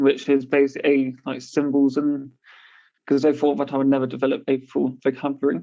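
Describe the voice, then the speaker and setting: A man speaks at a fairly quick pace in a fairly high pitch with a dark, mellow tone. His intonation stays monotone and flat. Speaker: person who stammers, interviewee. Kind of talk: interview testimony.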